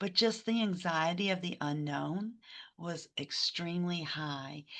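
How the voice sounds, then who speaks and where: A woman's bright, sharp tone comes through against a quiet background. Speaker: crisis hotline manager. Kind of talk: webinar panel answer. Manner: hesitant, many fillers.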